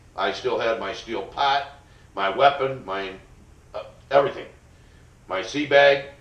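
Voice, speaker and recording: Noticeable background noise sits behind a man with an American accent. He talks fairly slowly at a medium pitch, with ordinary pitch variation. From upstate New York, USA. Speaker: Vietnam veteran. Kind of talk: interview answer, recounting personal history. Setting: college interview recording.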